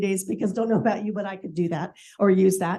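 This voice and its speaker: At a very fast pace, a woman speaks with medium pitch and ordinary pitch variation. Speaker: real estate agent. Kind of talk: sales meeting report.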